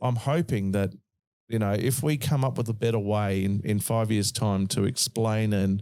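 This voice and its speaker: With an Australian accent, a man speaks at a moderate pace and fairly low pitch in a dark, mellow tone, keeping very even loudness and ordinary pitch variation in a very clean recording with a silent background. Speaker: podcast host. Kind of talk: casual chat.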